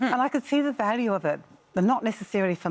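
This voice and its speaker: Speaking with lively intonation, a woman has a New Zealand accent. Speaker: novelist. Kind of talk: TV interview.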